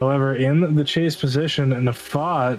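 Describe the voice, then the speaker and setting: A man talks at a fairly high pitch, varying it in an ordinary way, while noticeable background noise carries on. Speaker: sim racing commentator. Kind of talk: live commentary. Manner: animated.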